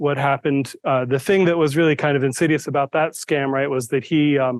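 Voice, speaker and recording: Moderate pace and ordinary pitch variation from a man with a fairly high pitch. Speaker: IT manager giving staff training. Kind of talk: presentation to staff. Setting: room with live audience, recorded to Zoom. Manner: soft-spoken; hesitant, many fillers.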